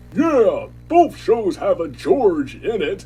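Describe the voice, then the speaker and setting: A man in a cartoonish character voice, at a very slow pace. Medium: puppet show. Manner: sarcastic, dry.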